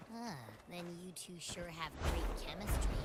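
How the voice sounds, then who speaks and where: A put-on character voice, female-sounding and fairly low-pitched for a woman, over loud background noise. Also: moderate pace. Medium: video game. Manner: bubbly, energetic.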